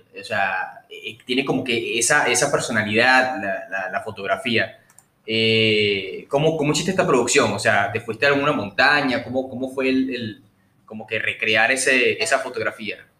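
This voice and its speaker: With an unremarkable speaking voice, a man talks at a moderate pace in a medium pitch with ordinary pitch variation. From Venezuela, Puerto Cabello. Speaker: podcast host. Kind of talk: casual interview; news reading.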